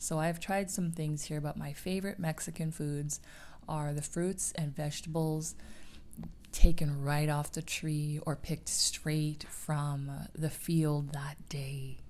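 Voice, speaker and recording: A soft-spoken woman talks fairly slowly at a very deep, low pitch. Her intonation is monotone and flat. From Canada. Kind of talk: ASMR chat.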